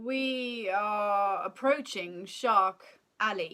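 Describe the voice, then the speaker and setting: A woman's put-on character voice at a medium pitch. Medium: read story.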